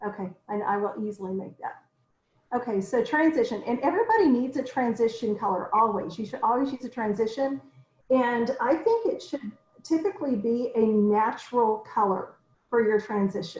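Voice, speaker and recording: In a plain, everyday voice, a woman keeps a moderate pace and ordinary pitch variation. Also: fairly high pitch for a woman. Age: 50s. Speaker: makeup consultant. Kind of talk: tutorial.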